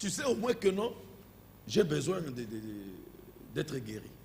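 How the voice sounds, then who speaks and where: A man talks in a non-native accent with lively intonation. Audible room echo surrounds his voice. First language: not French (speaking French). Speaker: pastor. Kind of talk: sermon. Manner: halting.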